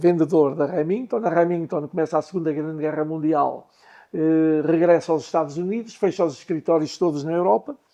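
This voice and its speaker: A man speaks at a moderate pace with a fairly high pitch and fairly even intonation. His tone is dark and mellow. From Portugal, Lousã. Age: 80s+. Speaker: business owner. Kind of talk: interview storytelling.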